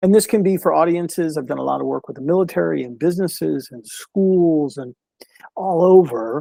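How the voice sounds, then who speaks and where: A man speaks at a fairly quick pace with fairly high pitch and ordinary pitch variation. His tone is dark and mellow, and the sound is dry and close with no echo. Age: 60s. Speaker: mental health speaker. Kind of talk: interview. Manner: halting, repeats words.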